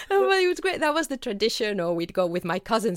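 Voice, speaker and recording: With a Spanish accent, the voice comes through a very clean recording with a silent background and a dry, close sound free of echo. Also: woman. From Spain. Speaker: author. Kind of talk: interview.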